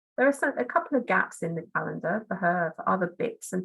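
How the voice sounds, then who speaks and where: A woman's medium pitch with vocal fry and very wide pitch swings. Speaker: marketing consultant. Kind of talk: webinar presentation. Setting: online webinar. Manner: friendly, practical and to the point.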